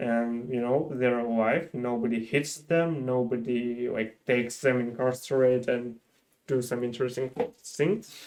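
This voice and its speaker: The speaker talks at a fairly slow pace in a Ukrainian accent. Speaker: engineer and volunteer. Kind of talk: casual chat.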